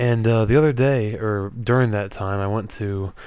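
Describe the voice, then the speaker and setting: The voice is quiet. Its intonation stays fairly even. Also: man. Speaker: gaming commentator. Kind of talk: gameplay commentary. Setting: at home late at night. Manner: quiet, low-volume speaking; hesitant, many fillers.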